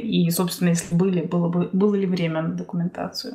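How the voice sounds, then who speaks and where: Background noise is noticeable as a woman talks at a fairly quick pace. Her pitch is medium, with fairly even intonation. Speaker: podcast host. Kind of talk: casual interview.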